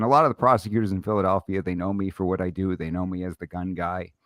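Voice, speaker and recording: A man with a New York accent talks at a fairly quick pace in a very deep, low pitch. The sound is dry and close, with no echo. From Brooklyn, New York. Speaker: gun rights lawyer and podcast host. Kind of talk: casual interview chat. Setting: live stream studio.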